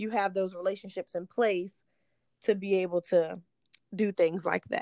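A woman speaks in an unremarkable speaking voice at medium pitch and a moderate pace. The sound is dry and close, with no echo. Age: 20s. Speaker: podcast host and real estate agent. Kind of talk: interview.

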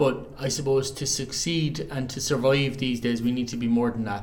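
A man speaks with an Irish accent. His pitch sits in the medium range. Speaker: choral society member.

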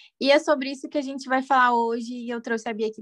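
A woman talks at a very fast pace with a high pitch. The background is quiet. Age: 20s. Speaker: podcast host, psychologist. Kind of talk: casual chat.

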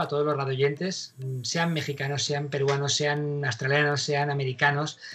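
There is noticeable background noise behind this recording. A man speaks fairly quickly in a fairly high voice. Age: 50s. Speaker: radio host, actor and pilot. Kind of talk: casual interview.

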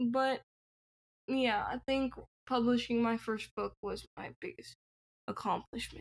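A woman with an American accent at a fairly slow pace, long, frequent pauses, and a dry, close sound with no echo. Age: 20s. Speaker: author. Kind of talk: interview.

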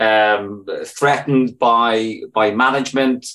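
In a Northern Irish accent, a man speaks at a medium pitch with a bright, sharp tone. His intonation is monotone and flat. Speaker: trade union activist, university staff. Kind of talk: podcast interview.

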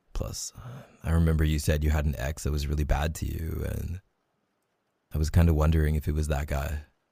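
Pausing long and often, a man with a very deep, low voice talks in a flat monotone, his tone warm as well as dark and mellow. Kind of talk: romantic roleplay monologue, tender reassurance. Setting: ASMR roleplay audio, intimate close-mic. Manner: soft, warm, tender and reassuring, intimate, slow and sincere; playful and teasing, with laughs and sighs.

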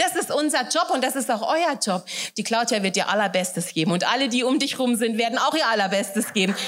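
Over noticeable background noise, a woman talks at a fairly quick pace in a fairly high voice. Her intonation is lively and her loudness stays very even. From Hesse, Germany (Wächtersbach). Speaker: guest preacher. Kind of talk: sermon.

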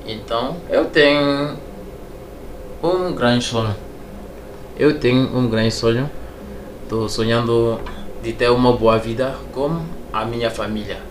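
A man with a French accent speaks very slowly at a medium pitch, with ordinary pitch variation and long, frequent pauses. The recording has audible room echo and noticeable background noise. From Togo. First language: French (speaking Portuguese). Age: 30s. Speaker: immigrant kitchen assistant. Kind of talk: interview.

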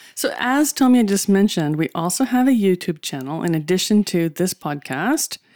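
A woman speaks at a medium pitch and a moderate pace, with hardly any pauses. Her pitch swings very widely over a very clean recording with a silent background. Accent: American. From USA. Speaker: podcast co-host. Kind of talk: casual chat.

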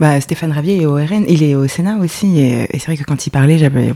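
Her pitch very deep and low, a woman speaks with fairly even intonation at a moderate pace. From France, Lyon. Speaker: political commentator on social media. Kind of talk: casual chat.

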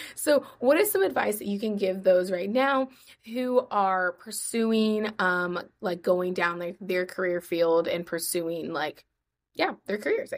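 A woman with a plain, everyday voice speaks at a fairly slow pace, her medium pitch varying in an ordinary way. The recording is very clean, with a silent background. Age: 20s. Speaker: podcast host. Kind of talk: casual interview chat.

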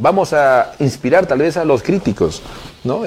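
There is noticeable background noise behind a man talking. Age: 30s. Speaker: mayor. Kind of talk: interview. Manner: halting, many fillers.

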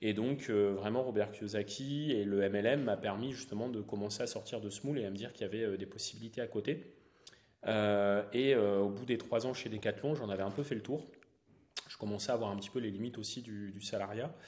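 A man with a plain, everyday voice speaks at a fairly quick pace, his fairly low pitch held in fairly even intonation. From northern France, Valenciennes area. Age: 30s. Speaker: real estate investor and entrepreneur. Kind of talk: interview.

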